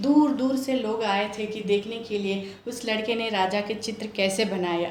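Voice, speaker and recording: A woman's fairly high voice with a Telangana accent and fairly even intonation, with audible room echo and noticeable background noise. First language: Telugu (speaking Hindi). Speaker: homemaker, storytelling contestant. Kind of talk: storytelling.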